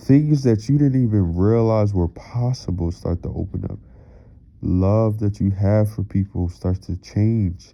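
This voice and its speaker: This man's voice sits fairly low in pitch and has a dark, mellow tone. He talks very slowly. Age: 20s. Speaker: motivational speaker. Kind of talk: motivational monologue. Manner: loud; animated.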